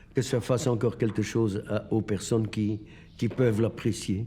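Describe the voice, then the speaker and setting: A man speaks at a very slow pace in a dark, mellow tone. The recording is very clean, with a silent background. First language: Dutch (Flemish) (speaking French). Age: 80s+. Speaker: sculptor. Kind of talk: documentary interview. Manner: halting.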